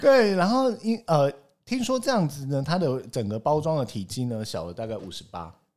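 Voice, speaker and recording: On a very clean recording with a silent background, a man with a fairly high pitch speaks at a moderate pace, making very wide pitch swings and big swings in loudness. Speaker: podcast host. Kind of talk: casual chat.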